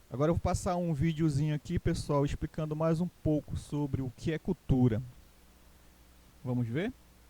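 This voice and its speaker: In a dry, close recording with no echo, a man with a Pará accent speaks at a moderate pace in a fairly high, dark, mellow voice, with ordinary pitch variation and long, frequent pauses. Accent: Paraense Brazilian Portuguese. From Pará, Brazil (Castanhal). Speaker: teacher. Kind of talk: online class lecture. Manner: casual, repetitive with fillers.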